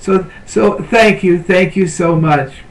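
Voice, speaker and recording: A man at a fairly slow pace with ordinary pitch variation, amid noticeable background noise. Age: 70s. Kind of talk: devotional talk. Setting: webcam at home. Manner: halting.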